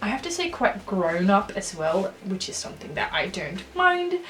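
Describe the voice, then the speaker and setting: Noticeable background noise can be heard as a woman talks. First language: not English. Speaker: stationery reviewer, YouTuber. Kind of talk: casual product review. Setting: home recording room with ring light. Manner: hesitant, with many fillers.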